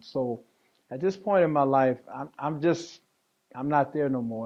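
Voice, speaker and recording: At a fairly slow pace, a man with a medium pitch speaks with ordinary pitch variation. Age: 60s. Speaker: interviewee sharing life story. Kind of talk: testimony. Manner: halting.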